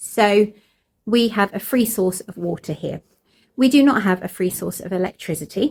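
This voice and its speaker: This woman speaks with vocal fry and ordinary pitch variation. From Cornwall, England (moved around). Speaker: homesteader vlogger. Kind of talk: casual vlog talk to camera. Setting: in a barn on a farm.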